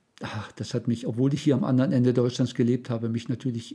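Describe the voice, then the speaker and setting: A somewhat breathy man speaks at a very fast pace and a medium pitch, in a dark, mellow tone. The recording is very clean, with a silent background. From eastern Germany, Saxony-Anhalt. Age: 70s. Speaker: retired church volunteer. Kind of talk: life story interview.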